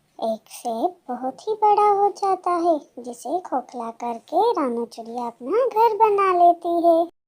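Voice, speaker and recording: A cartoonish character voice. It moves at a fairly slow pace. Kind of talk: children's cartoon narration. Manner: warm, expressive, sympathetic.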